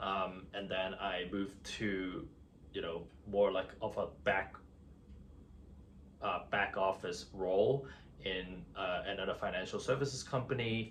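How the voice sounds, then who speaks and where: A man's fairly low voice with an American accent, ordinary pitch variation and a fairly slow pace, broken by long, frequent pauses, amid audible room echo. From Hong Kong and New York City (Queens) from age 13. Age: 30s. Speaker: finance worker and vlogger. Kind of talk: personal vlog monologue. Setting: on camera. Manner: hesitant, many fillers.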